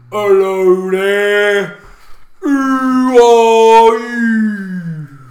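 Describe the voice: In a put-on character voice, the speaker bellows at a fairly high pitch.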